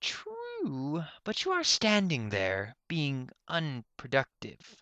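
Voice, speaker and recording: A put-on character voice swoops through very wide pitch swings at a very slow pace. The sound is dry and close, with no echo. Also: man, fairly high pitch for a man. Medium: read story. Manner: sarcastic, dismissive.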